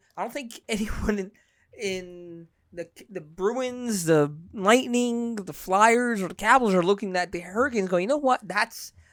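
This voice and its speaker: A woman with an American accent speaks at a moderate pace in a medium-pitched voice with ordinary pitch variation. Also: big swings in loudness. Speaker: sports podcast host. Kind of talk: casual sports podcast chat. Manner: animated.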